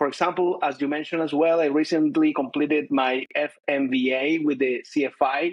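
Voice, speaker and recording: A man with a Chilean accent talks at a fairly quick pace with fairly even intonation and hardly any pauses. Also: fairly high pitch for a man. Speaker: corporate finance director. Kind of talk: interview. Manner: hesitant, many fillers.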